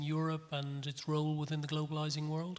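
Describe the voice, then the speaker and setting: A man's fairly high-pitched voice with an Irish accent. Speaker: panel moderator. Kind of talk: panel discussion. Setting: conference with audience.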